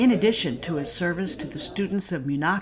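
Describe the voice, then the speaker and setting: Pitched fairly low, this woman has an unremarkable speaking voice. Her intonation is lively and her pace moderate. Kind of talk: news feature narration.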